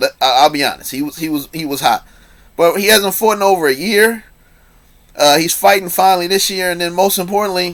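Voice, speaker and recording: Fairly quick in pace, this man speaks with a high pitch. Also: ordinary pitch variation. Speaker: boxing commentator vlogger. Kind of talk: casual opinion rant. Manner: fast; animated.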